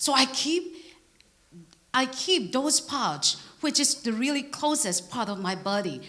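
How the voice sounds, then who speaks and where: Speaking with a Burmese accent, a woman with high pitch and lively intonation goes at a fairly slow pace, taking long, frequent pauses. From Burma. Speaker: preacher. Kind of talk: sermon. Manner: halting.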